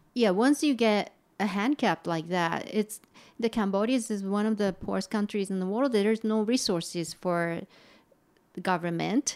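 A woman with a Japanese accent speaks at a medium pitch and a moderate pace. Her pitch variation is ordinary, and the recording is very clean with a silent background. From Japan, Kofu. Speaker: artist. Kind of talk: interview. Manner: halting.

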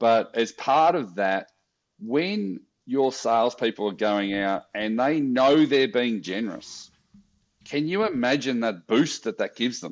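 A man with an Australian accent speaks at a medium pitch with lively intonation against a quiet background. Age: 50s. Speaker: social enterprise founder. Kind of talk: interview.

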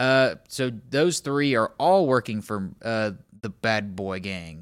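On a very clean recording with a silent background, a man speaks at a fairly low pitch in an unremarkable speaking voice, with ordinary pitch variation. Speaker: podcast host. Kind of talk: casual chat.

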